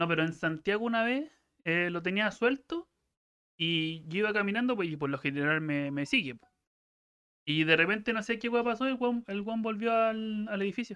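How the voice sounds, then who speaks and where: The speaker talks at a moderate pace with a Chilean accent over a quiet background. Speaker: podcast co-host. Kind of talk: casual chat.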